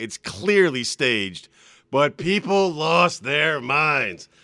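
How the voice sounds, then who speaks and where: Loud and bright with a sharp tone, a man speaks at a very slow pace with very wide pitch swings on a very clean recording with a silent background. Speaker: radio host. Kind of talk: casual banter, morning radio show. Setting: studio with headphones. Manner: loud, overcompensates because hard of hearing.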